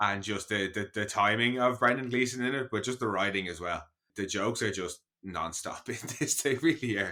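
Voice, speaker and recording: A man with an Irish accent speaks at a fairly low pitch in a bright, sharp tone, using ordinary pitch variation. His pace is fairly quick, and the recording is very clean with a silent background. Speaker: podcast co-host. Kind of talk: casual chat. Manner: animated.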